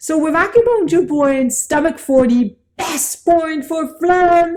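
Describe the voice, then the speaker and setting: A woman with a French accent speaks in an animated tone. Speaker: acupuncture teacher. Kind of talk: lecture.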